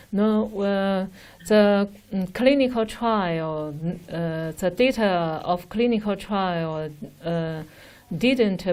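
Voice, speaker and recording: In a Chinese accent, a woman speaks very slowly with a dark, mellow tone and ordinary pitch variation. The recording is very clean, with a silent background. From China. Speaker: respiratory doctor. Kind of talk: Q&A with overseas doctors. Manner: halting, hesitant.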